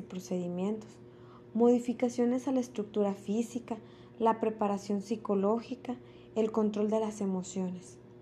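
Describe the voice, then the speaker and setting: Speaking at a fairly slow pace, a woman with a fairly high pitch and ordinary pitch variation sounds somewhat breathy, with a dark, mellow tone. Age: 30s. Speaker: intensive care nurse. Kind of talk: personal testimony, read from a script. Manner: formal.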